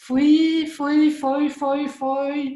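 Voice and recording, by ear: Using a put-on character voice, a woman speaks in a high pitch with monotone, flat intonation. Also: fairly slow pace.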